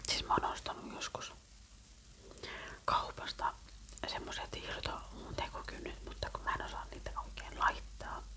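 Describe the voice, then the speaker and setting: A woman whispers at a fairly slow pace, leaving long, frequent pauses, with noticeable background noise around her. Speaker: ASMR creator. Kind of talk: casual ASMR chat to camera. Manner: whispered.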